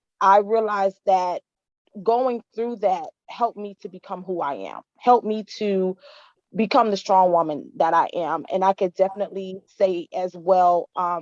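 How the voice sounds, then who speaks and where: In an American accent, a woman speaks in an ordinary speaking voice at a medium pitch and a fairly slow pace, with fairly even intonation and big swings in loudness, in a dry, close sound with no echo. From Miami, Florida. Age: 30s. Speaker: women's empowerment founder. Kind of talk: testimony.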